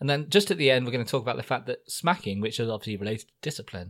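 A man's medium-pitched voice with vocal fry and lively intonation, on a very clean recording with a silent background. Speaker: podcast host. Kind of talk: casual chat.

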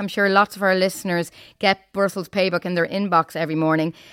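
A woman with an Irish accent speaks at a very fast pace and medium pitch with fairly even intonation. The recording is very clean with a silent background and a dry, close sound with no echo. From Ireland. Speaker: podcast host and journalist. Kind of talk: news podcast discussion and interview.

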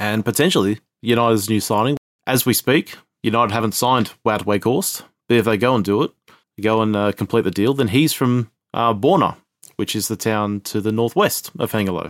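A man with an Australian accent speaks at a moderate pace and medium pitch with ordinary pitch variation, in a dry, close sound with no echo on a very clean recording with a silent background. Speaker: football podcast co-host. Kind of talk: casual chat.

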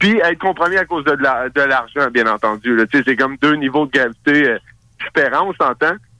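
A man's bright, sharp, fairly high voice at a fairly quick pace, with ordinary pitch variation, very even loudness, and a dry, close sound with no echo. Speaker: radio show host, guest. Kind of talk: casual chat. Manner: halting.

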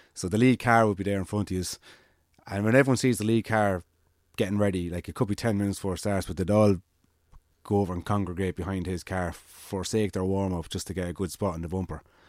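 Fairly low-pitched and fairly even in intonation, a man speaks at a very fast pace in a very clean recording with a silent background. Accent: Irish. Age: 30s. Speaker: amateur cyclist. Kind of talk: casual chat.

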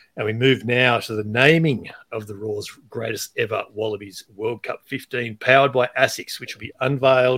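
With an Australian accent, a man speaks at a moderate pace and ordinary pitch variation on a very clean recording with a silent background. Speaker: podcast host. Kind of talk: casual interview chat with podcast intro.

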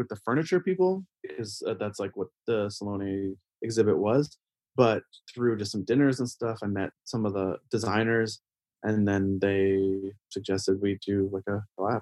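In a plain, everyday voice, a man with a Canadian accent talks at a moderate pace with ordinary pitch variation, the sound dry and close with no echo. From Canada. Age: 40s. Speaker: painter. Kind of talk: casual interview.

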